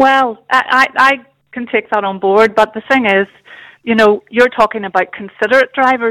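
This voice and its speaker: With a Northern Irish accent, a woman talks at a moderate pace with fairly even intonation in a dry, close sound with no echo. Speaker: caller. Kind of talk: phone-in call.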